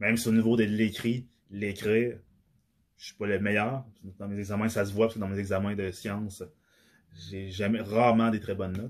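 In a Quebec accent, a man with a fairly low pitch speaks at a moderate pace in a monotone, flat intonation, with long, frequent pauses and big swings in loudness. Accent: Québécois French. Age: 30s. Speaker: podcaster. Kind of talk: solo monologue. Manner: halting, many fillers.

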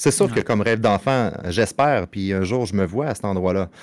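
On a very clean recording with a silent background, a man with a Quebec accent speaks fairly quickly at a fairly low pitch, with ordinary pitch variation. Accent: Québécois French. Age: 30s. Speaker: streamer and father. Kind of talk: casual chat.

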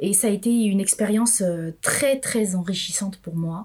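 Her pitch medium and its variation ordinary, a woman speaks at a fairly slow pace. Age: 40s. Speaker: entrepreneur. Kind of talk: interview. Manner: halting.

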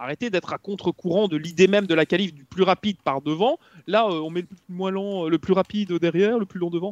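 A man's high-pitched voice at a fairly quick pace, with fairly even intonation, big swings in loudness, a quiet background and a dry, close sound with no echo. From Belgium. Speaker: motorsport commentator. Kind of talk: casual chat.

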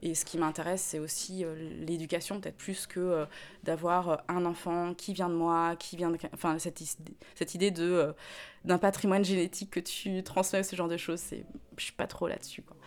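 A woman with a fairly low voice speaks at a moderate pace in a monotone, flat intonation, her loudness swinging widely. The recording is very clean, with a silent background. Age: 30s. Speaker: interviewee. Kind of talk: testimony.

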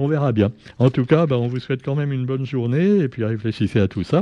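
A man talks at a fairly quick pace with lively intonation. His voice sits at a medium pitch with a dark, mellow tone. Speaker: radio press review columnist. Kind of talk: radio press review. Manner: hesitant with many fillers.

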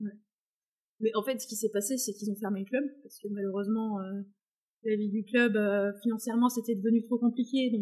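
A woman's fairly high, somewhat breathy voice in a monotone, flat delivery, with long, frequent pauses and big swings in loudness. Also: fairly quick pace. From France, countryside. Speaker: equine behaviourist and horse owner. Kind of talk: casual interview chat.

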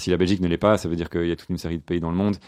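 Against a quiet background, a man with a very deep, low pitch speaks with fairly even intonation. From Belgium, Brussels. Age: 30s. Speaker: entrepreneur. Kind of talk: interview.

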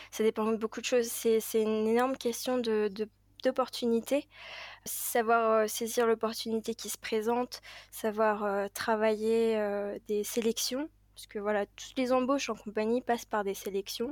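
A woman talks at a fairly slow pace in a fairly high, monotone, flat voice with big swings in loudness. The sound is dry and close with no echo, on a very clean recording with a silent background. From Paris, France. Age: 20s. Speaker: airline pilot. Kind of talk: interview. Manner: hesitant, many fillers.

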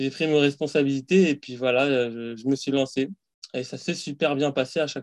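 In an unremarkable speaking voice, a man with fairly high pitch talks at a moderate pace, his intonation fairly even but his loudness swinging widely. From Paris suburbs, France. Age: 30s. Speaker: fasting practitioner. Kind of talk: casual interview.

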